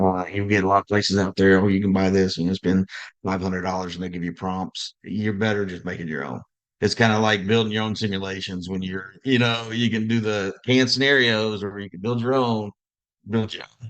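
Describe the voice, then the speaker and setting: A man with a fairly low pitch, fairly even intonation and a fairly quick pace, against a quiet background. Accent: Southern US. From US South. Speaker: director of simulation, healthcare education. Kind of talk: podcast interview.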